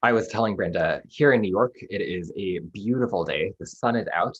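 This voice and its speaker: A man is speaking. He has an American accent. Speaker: publishing sales representative. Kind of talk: online presentation. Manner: fast.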